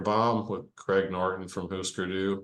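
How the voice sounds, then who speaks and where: Against a quiet background, a man with a very deep, low pitch speaks fairly slowly in a monotone, flat intonation. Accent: American. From US South, Arkansas. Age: 60s. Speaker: rock guitarist. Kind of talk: casual interview. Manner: halting, repeats words.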